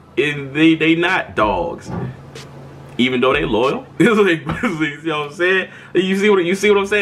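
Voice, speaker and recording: A man at a fairly quick pace with lively intonation, amid noticeable background noise. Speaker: vlogger. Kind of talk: casual monologue vlog. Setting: recording himself on camera. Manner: stuttering, repeats words.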